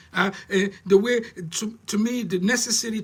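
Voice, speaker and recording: At a moderate pace, a man projects a raised voice that is high-pitched with a bright, sharp tone. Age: 60s. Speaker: life coach. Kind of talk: live-streamed talk. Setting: live stream. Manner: halting.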